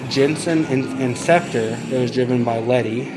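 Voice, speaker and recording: Noticeable background noise runs under this man's voice. He speaks at a medium pitch with an American accent and ordinary pitch variation. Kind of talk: casual vlog talk to camera.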